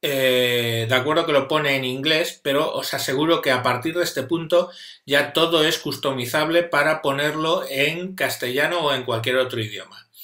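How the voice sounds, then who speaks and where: With a Spanish accent, a man speaks at a moderate pace in a fairly high pitch and a bright, sharp tone, his intonation fairly even, with audible room echo over a quiet background. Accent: Spanish (Spain). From Spain. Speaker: tutorial maker. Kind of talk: video introduction; tutorial. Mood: warm, grateful.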